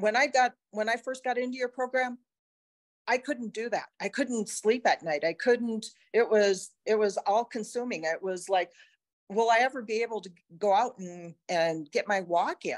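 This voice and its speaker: A woman speaks at a moderate pace with a plain, everyday voice, her fairly high pitch moving with ordinary variation in a dry, close sound with no echo. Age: 60s. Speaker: patient. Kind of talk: testimony.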